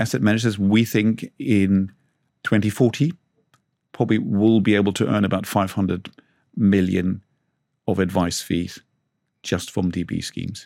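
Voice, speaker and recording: A man's fairly low, dark and mellow voice with a German accent, at a moderate pace with fairly even intonation and long, frequent pauses. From Germany. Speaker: management consultant. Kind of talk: interview. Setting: studio.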